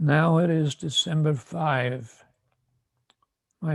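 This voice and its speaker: A man speaks at a very slow pace in a fairly high, somewhat breathy voice. His pitch varies in an ordinary way. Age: 80s+. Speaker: spiritual teacher. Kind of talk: prepared address to disciples. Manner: formal.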